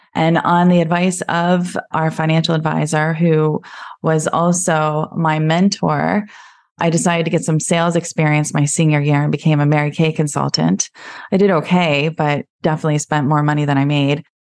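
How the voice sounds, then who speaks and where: An American-accented woman's very deep, low voice at a moderate pace, with fairly even intonation, very even loudness and a quiet background. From US, Pennsylvania. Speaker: financial planner. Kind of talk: podcast interview.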